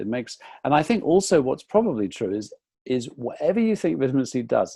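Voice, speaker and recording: With an English accent, a man speaks at a moderate pace in a dark, mellow tone. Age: 60s. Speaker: nutritionist. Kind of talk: interview. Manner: halting.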